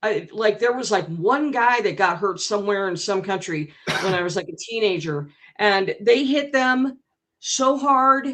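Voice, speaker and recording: A woman talks with lively intonation. Her pitch sits fairly high. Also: fairly slow pace. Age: 60s. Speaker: debate participant. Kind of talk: heated debate. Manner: halting.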